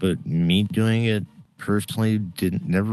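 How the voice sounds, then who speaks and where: A man speaking at a fairly quick pace, with music in the background. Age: 60s. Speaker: comedian. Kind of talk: casual chat.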